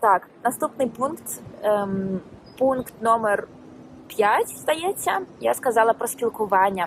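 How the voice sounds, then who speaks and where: A woman speaks at a very slow pace in a fairly high voice, leaving long, frequent pauses. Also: lively intonation. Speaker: language teacher, YouTuber. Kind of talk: casual vlog lesson. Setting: outdoors. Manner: hesitant, many fillers.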